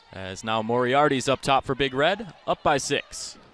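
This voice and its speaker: This man's voice is fairly high in pitch. Noticeable background noise runs behind him. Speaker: basketball play-by-play broadcaster. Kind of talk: live college basketball TV play-by-play.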